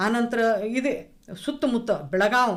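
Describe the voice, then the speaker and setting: A woman talks with lively intonation at a fairly high pitch. Hers is a plain, everyday voice. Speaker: retired lecturer, program compere. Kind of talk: radio panel discussion.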